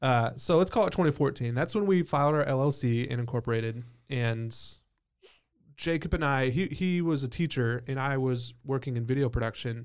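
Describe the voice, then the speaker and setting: Here a man uses a plain, everyday voice at medium pitch with ordinary variation. He keeps a moderate pace on a very clean recording with a silent background. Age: 30s. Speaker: brewery co-owner. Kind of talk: casual chat.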